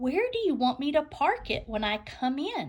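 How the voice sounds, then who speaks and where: In a put-on character voice, a woman talks at a moderate pace with a high pitch. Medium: read story.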